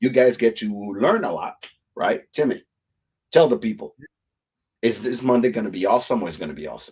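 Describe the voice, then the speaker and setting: A man with a non-native accent, vocal fry, very wide pitch swings, big swings in loudness, and long, frequent pauses. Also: medium pitch for a man, fairly quick pace. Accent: immigrant. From Africa. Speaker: whiskey show host. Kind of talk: live stream chat. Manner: animated.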